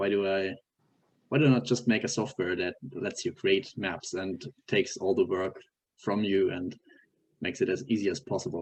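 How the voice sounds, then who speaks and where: A man with a German accent speaks at a fairly low pitch and a moderate pace. He leaves long, frequent pauses. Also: ordinary pitch variation. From Germany. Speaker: software developer. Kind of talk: interview. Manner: halting, many fillers.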